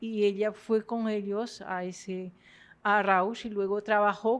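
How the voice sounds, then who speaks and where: Over a quiet background, a woman with a French accent speaks very slowly in a monotone, flat intonation. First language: French (speaking Spanish). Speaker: literature professor. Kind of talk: lecture. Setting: university lecture hall with audience. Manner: halting.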